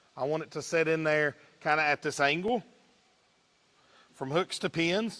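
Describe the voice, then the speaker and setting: Speaking with an Eastern Kentucky accent, a man uses a fairly high pitch. His pitch variation is ordinary. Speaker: livestock judge. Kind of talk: demonstration talk. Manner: casual.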